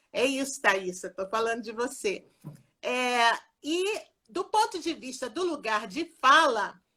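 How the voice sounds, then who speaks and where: Using a raised, projected voice with a bright, sharp tone, a woman speaks at a very slow pace with very wide pitch swings. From Rio de Janeiro, Brazil. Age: 60s. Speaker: occupational therapy professor. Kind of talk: live interview. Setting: Instagram live video.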